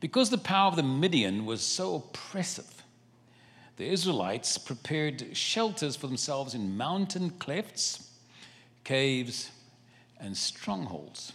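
A man with a South African accent, fairly high-pitched, with very wide pitch swings, a fairly slow pace and long, frequent pauses. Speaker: travelling preacher. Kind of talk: sermon. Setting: church service.

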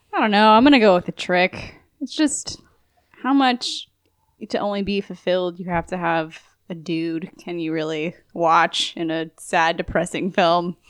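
A woman talks at a fairly slow pace with ordinary pitch variation, in a plain, everyday voice. The recording is very clean, with a silent background. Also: fairly low pitch for a woman. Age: 20s. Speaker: podcast guest. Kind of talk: casual chat.

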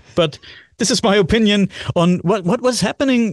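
A man with a German accent in a dry, close sound with no echo. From Germany, Bavaria. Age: 40s. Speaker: podcast host. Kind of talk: casual chat. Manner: halting.

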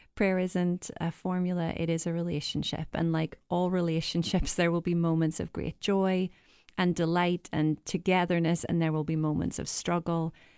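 A woman with an Irish accent speaks at a moderate pace in a dark, mellow tone and a fairly low pitch. Her intonation is monotone and flat, and the recording is very clean with a silent background. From Ireland. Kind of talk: conversational discussion. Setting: studio.

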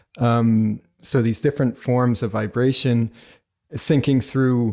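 The recording is very clean and the background silent. A man talks in a dark, mellow tone. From New Brunswick, Canada. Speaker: academic and artist. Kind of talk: interview.

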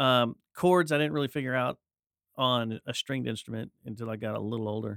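Using a plain, everyday voice, a man with a medium pitch and ordinary pitch variation talks at a fairly quick pace. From Texas, Dallas-Fort Worth area. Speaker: podcaster and musician. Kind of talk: casual chat.

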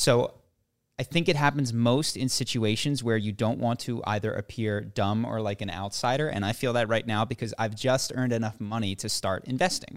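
A man's unremarkable speaking voice at medium pitch, moderate pace, very clean recording with a silent background. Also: ordinary pitch variation. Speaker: podcast co-host. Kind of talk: casual chat.

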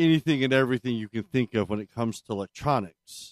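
A man speaks very fast at a medium pitch with ordinary pitch variation. The recording is very clean and dry, close with no echo, over a silent background. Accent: American. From Maryland, US. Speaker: podcast co-host. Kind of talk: casual chat.

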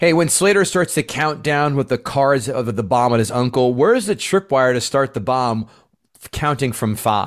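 With an animated tone and lively intonation, a man of medium pitch speaks at a moderate pace on a very clean recording with a silent background. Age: 40s. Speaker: movie podcast host. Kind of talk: casual chat.

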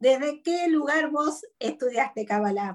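Ordinary pitch variation at a fairly slow pace. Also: woman. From Argentina, interior. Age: 50s. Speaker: psychologist and speaker. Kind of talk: interview conversation.

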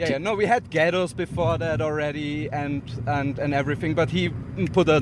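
A man speaks at a moderate pace in a fairly high voice. His pitch varies in an ordinary way over noticeable background noise. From Austria. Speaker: comedian, podcast guest. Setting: car.

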